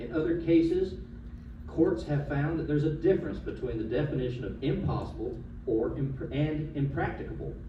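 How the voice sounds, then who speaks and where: With a Southern US accent, a man talks at a fairly quick pace amid noticeable background noise and audible room echo. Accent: Southern US (Georgia). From US South, Georgia (Coweta County). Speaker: attorney speaking at public comment. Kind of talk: public comment at a county commission meeting. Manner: formal; some stumbles and repeated words.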